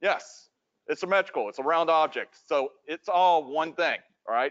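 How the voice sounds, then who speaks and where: A man with a high pitch speaks loudly at a moderate pace with lively intonation. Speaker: 3D modeling instructor. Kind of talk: lecture.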